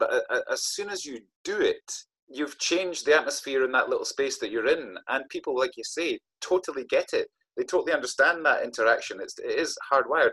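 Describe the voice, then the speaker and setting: Speaking at a fairly quick pace in an Aberdeen accent, a man is heard in a dry, close sound with no echo. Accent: Scottish, north-east (Aberdeen). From Scotland, Aberdeen. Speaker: author and storyteller. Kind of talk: interview.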